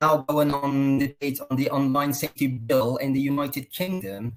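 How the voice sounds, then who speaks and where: This is a man's voice. His pitch sits fairly high. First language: Persian. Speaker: consultant and program host. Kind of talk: live online interview. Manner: formal.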